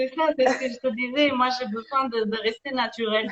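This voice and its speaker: This is a woman speaking. Her pace is moderate. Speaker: energy healer and life coach. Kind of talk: interview conversation. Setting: live video stream. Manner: hesitant, many fillers.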